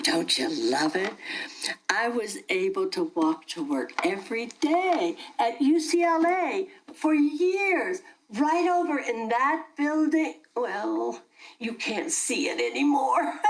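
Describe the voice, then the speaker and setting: Using a put-on character voice, a woman speaks at a fairly slow pace and a high pitch with very wide pitch swings. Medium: audio drama. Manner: chatty, rambling, laughs often.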